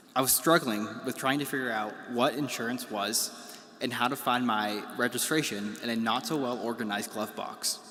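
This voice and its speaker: Through noticeable background noise, a man speaks at a moderate pace and medium pitch with fairly even intonation. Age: 20s. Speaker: student government president. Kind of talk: commencement speech. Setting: graduation ceremony.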